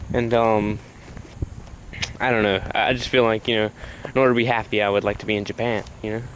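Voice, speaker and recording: A man with an American accent talks at a very fast pace and medium pitch in a monotone, flat intonation, with long, frequent pauses and noticeable background noise. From US South, South Carolina. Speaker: vlogger. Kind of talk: casual vlog monologue. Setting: outdoors, walking at night. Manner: hesitant, many fillers.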